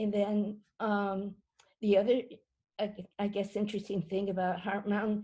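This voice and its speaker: In an American accent, a woman talks at a moderate pace with a dark, mellow tone, a somewhat breathy quality, monotone, flat intonation and long, frequent pauses. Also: medium pitch for a woman. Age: 80s. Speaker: Japanese American incarceration survivor. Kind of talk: personal testimony. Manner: halting, many fillers and repetitions.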